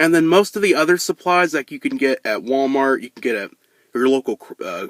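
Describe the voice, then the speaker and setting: A man speaks in a bright, sharp tone, the sound dry and close with no echo, on a very clean recording over a silent background. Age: 20s. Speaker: YouTuber and mascot performer. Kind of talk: casual Q&A to camera. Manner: unscripted with stutters and long pauses.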